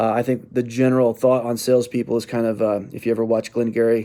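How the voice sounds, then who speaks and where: A man's dark, mellow voice at medium pitch, flat and monotone, at a moderate pace. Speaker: sales trainer. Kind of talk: training talk. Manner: halting.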